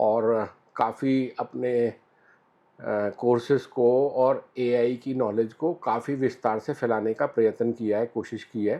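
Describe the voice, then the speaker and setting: A man speaks with fairly even intonation. It is an ordinary speaking voice. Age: 60s. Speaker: business owner, industry association vice president. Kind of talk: interview answer.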